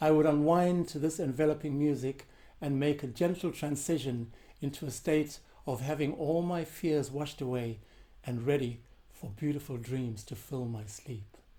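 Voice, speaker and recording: The man's tone is dark and mellow. His voice is somewhat breathy. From South Africa. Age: 70s. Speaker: composer and percussionist. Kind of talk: prepared answers read to questions. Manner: formal.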